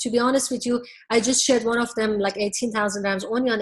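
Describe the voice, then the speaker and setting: Fairly even intonation marks this woman's somewhat breathy speech. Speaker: business coach. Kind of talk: webinar presentation. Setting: webinar. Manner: fast.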